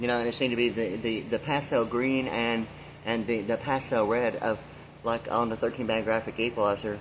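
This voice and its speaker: At a fairly quick pace and medium pitch, a man speaks with monotone, flat intonation and very even loudness. Noticeable background noise is present. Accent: American. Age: 60s. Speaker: vlogger. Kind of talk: rambling monologue. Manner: halting, many fillers.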